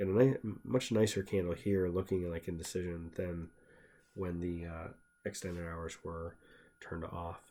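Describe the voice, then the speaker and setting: A man's very deep, low voice at a moderate pace, fairly even in intonation yet with big swings in loudness, on a very clean recording with a silent background. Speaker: stock trader. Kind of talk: tutorial. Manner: mumbling; casual, halting.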